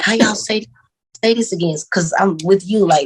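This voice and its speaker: Somewhat breathy, a woman with a Louisiana accent speaks with ordinary pitch variation in a dry, close sound with no echo. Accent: Southern US, country Louisiana. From Louisiana (Monroe), US South. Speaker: podcast co-host. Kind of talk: casual chat. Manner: casual, profane.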